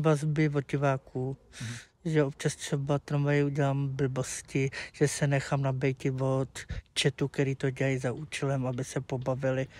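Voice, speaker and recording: A man speaks at a moderate pace with a fairly high pitch, the sound dry with no echo. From Czech Republic, Plzeň; Czech Republic. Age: 30s. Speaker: streamer. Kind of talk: interview. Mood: candid, somewhat sheepish. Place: garden. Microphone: lapel.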